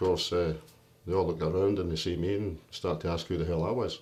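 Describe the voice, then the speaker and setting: A man speaks in an animated tone at a very fast pace with ordinary pitch variation. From Scotland, Greenock (born in London). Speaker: union leader, boilermaker. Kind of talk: life story interview. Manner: animated storytelling.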